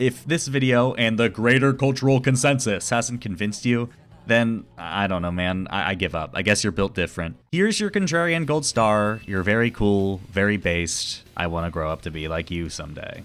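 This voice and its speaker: A man with a fairly low pitch speaks at a moderate pace with lively intonation and hardly any pauses, on a very clean recording with a silent background. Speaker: YouTube video essayist. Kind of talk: scripted video essay narration; casual outro to viewers. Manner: loud.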